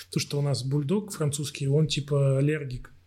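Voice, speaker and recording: A man talks at a moderate pace with a fairly high pitch and a somewhat breathy voice. The recording is very clean, with a silent background. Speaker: musician. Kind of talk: casual chat.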